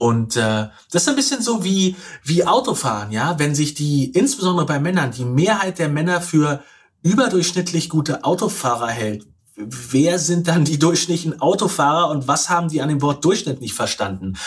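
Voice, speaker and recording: With music in the background, a man talks with very wide pitch swings. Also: fairly high pitch for a man, moderate pace. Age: 40s. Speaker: author and journalist. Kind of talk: interview. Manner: halting.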